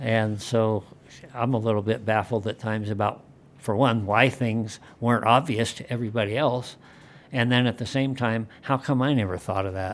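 A man speaks at a moderate pace with medium pitch. It is an ordinary speaking voice, with fairly even intonation. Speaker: legislator and former political journalist. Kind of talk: roundtable discussion.

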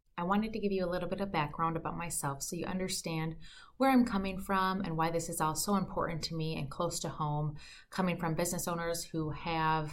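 With fairly even intonation and a fairly quick pace, a woman speaks at a fairly low pitch in a room with audible echo. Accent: American. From Minnesota, US Midwest. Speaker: podcast host, financial advisor. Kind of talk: podcast monologue.

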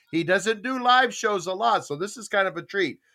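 Raised and projected, a man's voice carries a bright, sharp tone at a high pitch. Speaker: podcast host. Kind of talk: casual chat. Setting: live video call panel.

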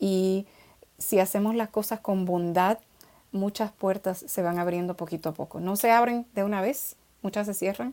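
In a very clean recording with a silent background, a woman with a dark, mellow tone and medium pitch talks at a moderate pace with fairly even intonation and long, frequent pauses. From Dominican Republic. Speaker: children's author and poet. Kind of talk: interview conversation.

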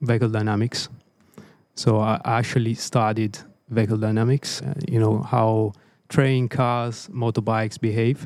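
A man with an Italian accent speaks at a moderate pace and medium pitch with fairly even intonation. His loudness stays very even in a very clean recording with a silent background. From Italy, Tuscany. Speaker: race engineer. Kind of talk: casual chat.

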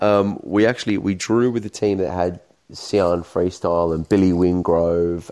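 In an Australian accent, the voice carries a dark, mellow tone at a moderate pace with fairly even intonation. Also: man. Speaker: street footballer. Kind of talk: casual chat.

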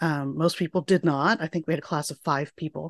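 A woman speaks with a fairly low pitch and ordinary pitch variation in a plain, everyday voice. The sound is dry and close with no echo against a quiet background. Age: 40s. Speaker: physicist and program manager. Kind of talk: interview.

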